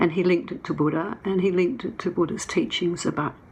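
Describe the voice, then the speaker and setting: A woman with an Australian accent talks at a moderate pace with ordinary pitch variation. Room echo can be heard. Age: 70s. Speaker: documentary filmmaker. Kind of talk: conference talk. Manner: halting.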